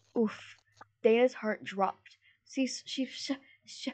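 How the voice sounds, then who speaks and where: A woman with a fairly high-pitched voice. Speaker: podcast co-host. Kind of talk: casual chat with story reading. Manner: animated, joking.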